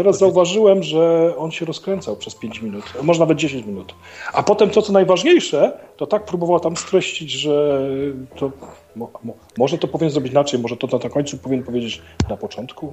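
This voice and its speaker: A man's fairly high voice at a fairly quick pace, lively in intonation, with big swings in loudness over noticeable background noise. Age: 50s. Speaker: stand-in co-host. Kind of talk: casual chat.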